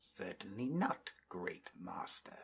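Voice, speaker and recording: A man uses a put-on character voice that is whiny and growling, pitched at a medium level. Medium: read story. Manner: whining, obsequious.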